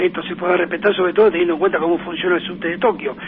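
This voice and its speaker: A man speaks over noticeable background noise. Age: 60s. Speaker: sports radio panelist. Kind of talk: radio interview. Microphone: sounds far away.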